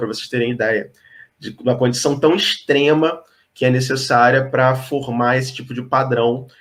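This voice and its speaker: A man with a Rio de Janeiro accent, medium pitch and a moderate pace. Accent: Rio de Janeiro (carioca). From Brazil, Rio de Janeiro. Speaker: geologist. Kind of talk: explanatory talk in online interview. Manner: hesitant with frequent fillers.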